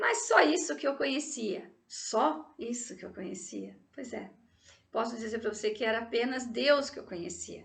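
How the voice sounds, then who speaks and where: A woman's fairly high pitch with vocal fry, lively intonation and big swings in loudness, in audible room echo. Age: 60s. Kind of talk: personal testimony.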